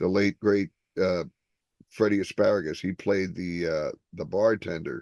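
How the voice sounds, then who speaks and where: At a moderate pace with long, frequent pauses, a man with an American accent talks at a fairly low pitch with ordinary pitch variation, the sound dry and close with no echo. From Newark, New Jersey. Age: 60s. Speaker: stand-up comedian. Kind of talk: interview. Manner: halting, many fillers.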